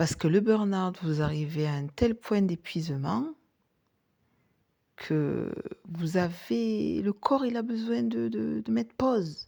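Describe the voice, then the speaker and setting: A woman speaks at a very slow pace with long, frequent pauses, her very deep, low voice dark and mellow in tone and swinging very widely in pitch. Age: 40s. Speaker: life coach and former nurse. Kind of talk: podcast monologue.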